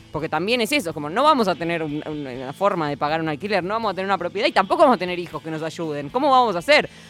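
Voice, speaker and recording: Over music in the background, a woman with a fairly low voice talks at a very fast pace with hardly any pauses, very wide pitch swings and big swings in loudness. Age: young. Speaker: radio host. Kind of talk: casual chat.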